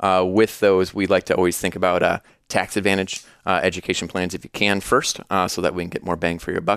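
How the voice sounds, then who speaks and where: A man with a US Midwestern accent speaks in a very deep, low voice with flat, monotone intonation and hardly any pauses. The recording is dry and close, very clean, with a silent background and no echo. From Iowa, US Midwest. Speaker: financial advisor. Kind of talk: casual interview.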